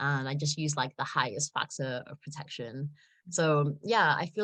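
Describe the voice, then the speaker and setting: In a British accent, a woman with a very deep, low pitch speaks at a moderate pace with ordinary pitch variation, the sound dry and close with no echo against a quiet background. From South Africa. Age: 20s. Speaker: model. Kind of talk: interview answer. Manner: casual, many fillers.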